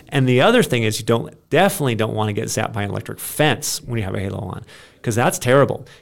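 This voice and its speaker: With an American accent, a man talks at a very fast pace at medium pitch with vocal fry. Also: lively intonation. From Maine, US. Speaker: professional skateboarder and nonprofit founder. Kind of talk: fervent testimony. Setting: studio. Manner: earnest, impassioned, preacher-like.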